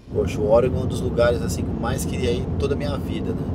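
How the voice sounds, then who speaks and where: A man is speaking, with loud background noise around him. The sound itself is dry with no echo. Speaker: travel show host. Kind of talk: casual vlog chat. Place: car.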